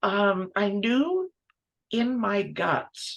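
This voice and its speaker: The background is quiet as a woman talks. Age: 70s. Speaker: multidisciplinary textile artist; guest. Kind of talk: interview conversation. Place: workshop.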